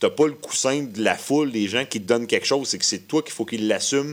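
With a Quebec accent, a man speaks at a very fast pace and with fairly even intonation. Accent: Québécois French. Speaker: musician. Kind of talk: casual radio interview. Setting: radio studio.

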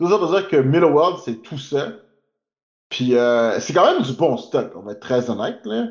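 This man's voice sits fairly high and moves through very wide pitch swings. He keeps a moderate pace. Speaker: podcast co-host. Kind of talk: casual chat.

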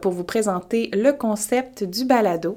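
With a Quebec accent, a woman speaks at a fairly slow pace. Her tone is dark and mellow, and her intonation is lively. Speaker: babywearing instructor. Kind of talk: podcast monologue. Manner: casual, hesitant with fillers.

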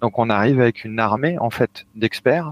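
The recording is dry and close, with no echo. A man speaks at a medium pitch. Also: very clean recording, silent background. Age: 30s. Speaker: video game technical artist. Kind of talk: interview. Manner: halting, frequent repetitions.

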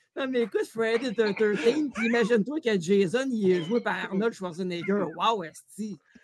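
In a Quebec accent, a man talks at a fairly slow pace in a high pitch with ordinary pitch variation. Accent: Québécois French. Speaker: comedian. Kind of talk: comedic quiz show.

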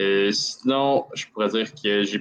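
A man speaks very slowly in a Quebec accent. His pitch is medium. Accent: Québécois French. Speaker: hockey commentator guest. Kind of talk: casual sports analysis chat.

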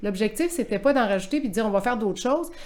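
A woman's voice over music in the background. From Quebec City. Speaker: sports event director. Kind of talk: interview.

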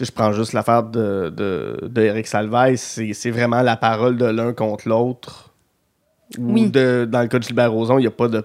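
This man speaks at a fairly slow pace with a monotone, flat intonation. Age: 30s. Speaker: podcast host. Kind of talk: casual chat.

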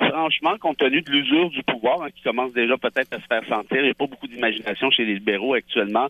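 Talking at a very fast pace with hardly any pauses, a man at a medium pitch shows ordinary pitch variation and big swings in loudness. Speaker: lawyer, columnist and essayist. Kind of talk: political panel discussion.

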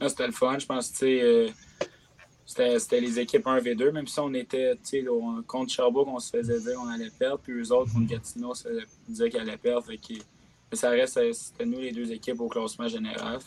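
At a fairly quick pace, a man speaks in a medium-pitched, monotone voice with flat intonation. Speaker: junior hockey player. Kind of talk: casual interview.

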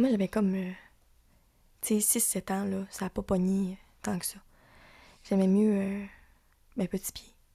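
A woman with a Lac-Saint-Jean accent and a dark, mellow, somewhat breathy tone speaks with monotone, flat intonation and long, frequent pauses, on a very clean recording with a silent background. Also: medium pitch for a woman, fairly slow pace. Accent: Lac-Saint-Jean Quebec French. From Quebec, Lac-Saint-Jean. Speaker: podcast host. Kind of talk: casual chat.

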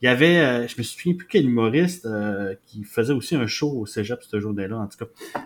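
This man has an ordinary speaking voice at medium pitch. He speaks at a moderate pace with lively intonation. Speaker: podcast host. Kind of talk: casual chat.

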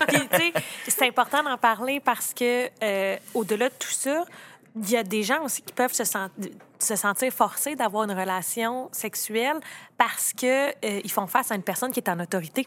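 A woman with a Quebec accent speaks at a moderate pace, her fairly high pitch showing ordinary variation. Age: 30s. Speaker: lawyer. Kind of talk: casual chat.

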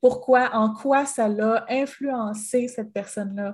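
A woman speaks at a very slow pace with fairly even intonation. Her voice is somewhat breathy. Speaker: podcast co-host. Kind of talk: casual chat.

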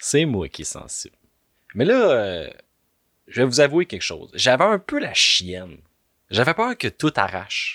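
A man in a Quebec accent with an animated tone, big swings in loudness, a fairly slow pace and long, frequent pauses, on a very clean recording with a silent background and a dry, close sound with no echo. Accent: Québécois French. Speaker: podcaster. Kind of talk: comedic monologue.

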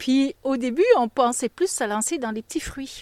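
At a fairly slow pace and with ordinary pitch variation, a woman speaks in a dry, close sound with no echo. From Belgium (Flanders). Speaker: goat cheese farmer. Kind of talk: interview. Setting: on the farm.

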